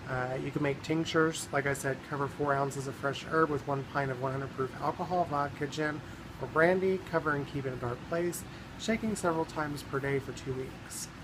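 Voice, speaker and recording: Against noticeable background noise, a man with an American accent talks at a fairly quick pace in a fairly high voice. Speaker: herbalism vlogger. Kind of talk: informational vlog tutorial. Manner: casual, halting with frequent ums.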